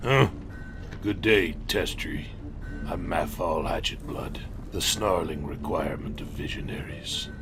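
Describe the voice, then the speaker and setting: Loud background noise surrounds a man doing a put-on character voice, very deep and low in pitch, at a fairly slow pace. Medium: machinima. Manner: proud, blustering.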